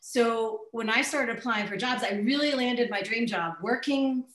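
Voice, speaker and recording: A woman with an American accent at a moderate pace, ordinary pitch variation, audible room echo and a quiet background. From US South. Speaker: marketing company CEO; speaker. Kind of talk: webinar hosting. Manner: enthusiastic. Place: office. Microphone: webcam.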